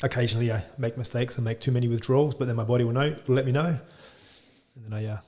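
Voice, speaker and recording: A man talks at a very fast pace in an Australian accent, his medium-pitched voice dark and mellow. He sounds somewhat breathy, with monotone, flat intonation. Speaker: chiropractor. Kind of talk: podcast interview.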